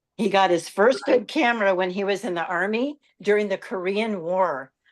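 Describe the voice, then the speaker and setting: Using a plain, everyday voice, a woman speaks at a moderate pace with ordinary pitch variation. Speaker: society host. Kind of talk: speaker introduction.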